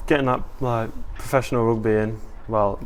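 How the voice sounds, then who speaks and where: A man at a medium pitch talks at a fairly quick pace in a monotone, flat intonation. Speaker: academy rugby player. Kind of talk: interview.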